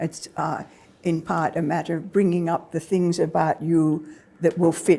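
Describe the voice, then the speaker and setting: In a British accent, the voice has a dark, mellow tone and moves at a fairly slow pace. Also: woman. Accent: British-sounding. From Australia. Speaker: historian. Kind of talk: lecture. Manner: halting.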